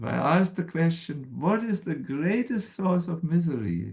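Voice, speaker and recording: With a German accent, the speaker talks at a fairly slow pace with lively intonation. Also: man. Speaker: spiritual teacher. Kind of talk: spiritual talk. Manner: halting.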